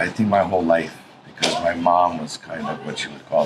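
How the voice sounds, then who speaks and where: A man's voice in a Hawaiian accent, with noticeable background noise. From Hawaii (Kaneohe, Oahu). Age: 60s. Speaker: Native Hawaiian community activist. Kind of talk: interview.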